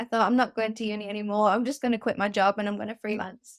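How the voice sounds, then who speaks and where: A woman with a Mancunian accent speaks at a fairly high pitch in a monotone, flat delivery, on a very clean recording with a silent background. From northern England, Manchester. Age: 20s. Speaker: freelance writer. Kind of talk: casual interview.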